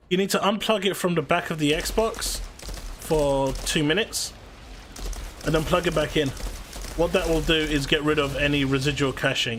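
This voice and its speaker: A man speaks at a moderate pace with a fairly high pitch, ordinary pitch variation and very even loudness. He pauses long and often, and background noise is noticeable. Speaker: gaming streamer. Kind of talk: live stream chat while gaming. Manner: stuttering at the moment.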